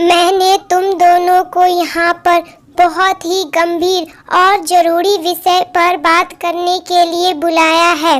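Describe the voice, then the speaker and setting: A woman's cartoonish character voice, extremely high in pitch, monotone and flat, at a very slow pace. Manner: commanding.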